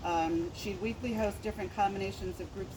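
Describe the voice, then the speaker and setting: Over noticeable background noise, the speech moves at a moderate pace with fairly even intonation. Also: woman. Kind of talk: eulogy speech.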